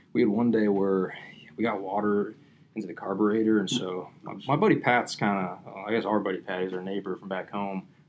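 Fairly low in pitch, a man talks with an ordinary speaking voice. His pace is fairly quick and his intonation fairly even. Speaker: fishing podcast host. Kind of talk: casual chat.

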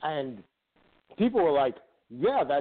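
Lively intonation runs through a man's unremarkable speaking voice as he speaks at a moderate pace. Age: 40s. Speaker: sports radio guest co-host, hockey fan. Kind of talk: casual chat.

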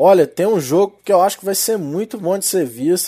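This man has a high voice with a dark, mellow tone. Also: very clean recording, silent background. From Minas Gerais, Brazil. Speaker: sports betting tipster. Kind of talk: betting tips monologue. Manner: animated.

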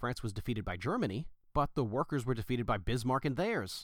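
A man with a normal speaking voice talks at a fairly quick pace. His medium pitch comes with lively intonation. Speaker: podcast host and audiobook reader. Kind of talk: political audiobook reading, solemn read-aloud of a Lenin text. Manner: measured, formal, steady reading pace.

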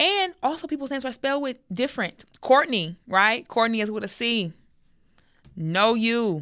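The recording is very clean, with a silent background. A woman with an American accent talks in an ordinary speaking voice. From United States. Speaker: podcast host. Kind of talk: casual chat.

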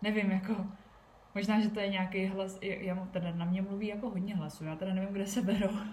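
A somewhat breathy woman speaks at a fairly quick pace and medium pitch with monotone, flat intonation and audible room echo. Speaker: podcast host and entrepreneur. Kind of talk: casual solo podcast talk. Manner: fast.

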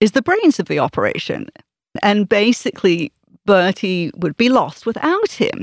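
A woman speaks at a moderate pace. The recording is very clean with a silent background and a dry, close sound with no echo. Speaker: author giving book recommendation. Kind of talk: casual book recommendation. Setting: studio.

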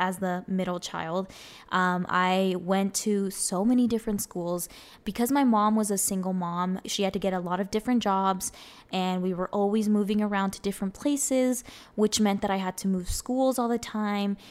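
A woman with a Spanish accent, medium pitch, fairly even intonation and a moderate pace, on a very clean recording with a silent background. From US Southwest, Arizona (South Phoenix). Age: 20s. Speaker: podcast host. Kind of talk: personal monologue.

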